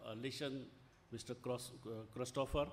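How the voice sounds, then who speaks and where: A medium-pitched man's voice in an Indian accent, with monotone, flat intonation. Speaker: conference chair, academic librarian. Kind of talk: welcome speech. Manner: halting, many fillers.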